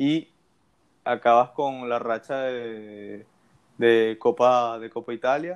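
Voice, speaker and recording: Speaking very slowly with long, frequent pauses, a man at medium pitch keeps a fairly even intonation while his loudness swings widely. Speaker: football podcast host. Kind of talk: casual chat.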